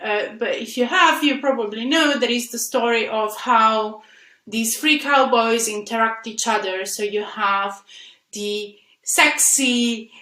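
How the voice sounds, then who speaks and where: Audible room echo hangs on this woman's voice. Her pitch varies in an ordinary way. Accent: Italian. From Italy. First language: Italian. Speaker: software engineer and conference speaker. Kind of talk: conference talk. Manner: halting, with frequent fillers.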